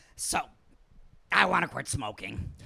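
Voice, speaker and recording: A man puts on a raspy character voice. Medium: comedy sketch.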